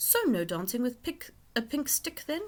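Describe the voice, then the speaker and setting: Using a put-on character voice, a woman talks at a moderate pace, her high pitch moving in very wide swings. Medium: read story. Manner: distracted, hooting.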